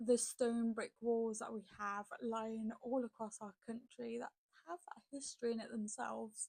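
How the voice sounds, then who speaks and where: A woman with a British accent speaks fairly slowly at a fairly high pitch, in a flat, monotone way with big swings in loudness and a dry, close sound with no echo. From UK. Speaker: reaction video creator. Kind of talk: casual commentary.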